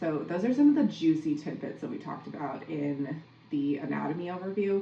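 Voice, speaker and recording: A woman talks at a fairly quick pace with an American accent, her pitch very deep and low, with ordinary variation. Audible room echo and noticeable background noise surround her. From Minnesota, US. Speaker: podcast host, athletic coach. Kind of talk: solo podcast recap. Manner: casual, conversational.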